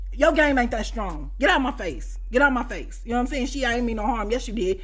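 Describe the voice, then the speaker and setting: In a Chicago accent, a woman with a high pitch talks very fast in an animated tone, with ordinary pitch variation and audible room echo. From US Midwest, Chicago. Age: 40s. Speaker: YouTuber, storyteller. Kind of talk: storytime monologue. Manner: animated, conversational.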